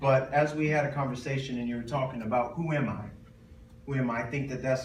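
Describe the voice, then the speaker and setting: A man speaks in a monotone, flat way at a medium pitch. Noticeable background noise and audible room echo surround him. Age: 30s. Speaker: motivational speaker, retired football player. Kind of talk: motivational talk in church. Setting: church with audience. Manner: fast; loud.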